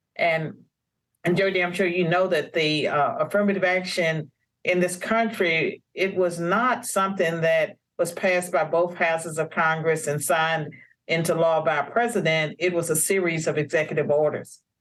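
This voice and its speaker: Speaking in an ordinary speaking voice, a woman has an American accent and a fairly low pitch. Her pace is moderate and her intonation fairly even. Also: very even loudness. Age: 60s. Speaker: author and policy scholar. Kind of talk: interview.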